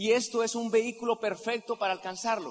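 A man's animated delivery amid noticeable background noise. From Colombia, Santander (Simacota). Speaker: network marketing leader. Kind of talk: motivational convention speech.

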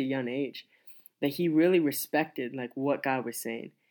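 On a very clean recording with a silent background, a man with an American accent talks at a fairly quick pace with ordinary pitch variation. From US Midwest, Nebraska. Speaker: youth pastor. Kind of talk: testimony. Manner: halting.

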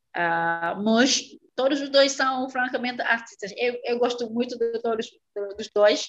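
Her pace is fairly slow. The woman's pitch is fairly high, with ordinary pitch variation. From Senegal, Casamance in the south, raised in Dakar. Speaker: Portuguese teacher. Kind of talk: interview. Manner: halting, with frequent hesitations.

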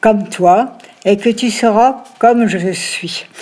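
Pitch moving in an ordinary way, with noticeable background noise underneath. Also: woman. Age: 80s+. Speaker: grandmother. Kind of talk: personal testimony. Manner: halting.

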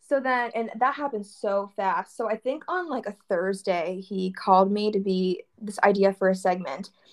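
In an ordinary speaking voice, a woman speaks at a moderate pace and medium pitch, with ordinary pitch variation and hardly any pauses. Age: 20s. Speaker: clothing entrepreneur. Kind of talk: casual interview chat.

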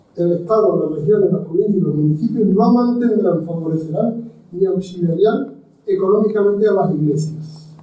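This man's voice sits high for a man, moving at a moderate pace with ordinary pitch variation and very even loudness, while audible room echo surrounds it. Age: 80s+. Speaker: historian and lecturer. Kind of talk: lecture. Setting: university lecture hall with audience.

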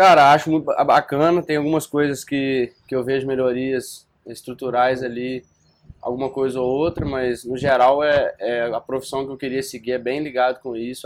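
An unremarkable speaking voice is heard here. The intonation stays fairly even. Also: man. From Brazil, Viçosa, Minas Gerais. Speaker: student investor. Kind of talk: casual chat.

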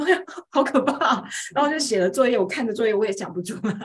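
Very wide pitch swings in a woman's fairly high-pitched voice. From Taiwan, rural Pingtung. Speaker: homeschooling mother and teacher. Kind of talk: interview storytelling.

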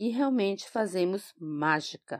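With a very slow pace and very wide pitch swings, a woman speaks in a dry, close sound with no echo on a very clean recording with a silent background. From Brazil, migrant from another state. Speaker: school kitchen coordinator. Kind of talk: personal testimony.

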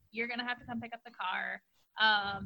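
A bright, sharp tone runs through this voice, edged with vocal fry. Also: woman. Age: 20s. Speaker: podcast co-host. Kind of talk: casual chat.

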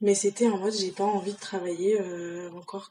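Flat, monotone intonation from a woman at a medium pitch. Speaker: university student. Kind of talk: casual chat.

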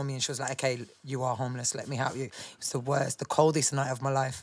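Speaking at a very fast pace, a woman in a Birmingham accent uses a very deep, low pitch. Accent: Birmingham (Brummie). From Birmingham, England. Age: 30s. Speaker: grime MC. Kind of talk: casual interview chat. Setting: studio, live podcast.

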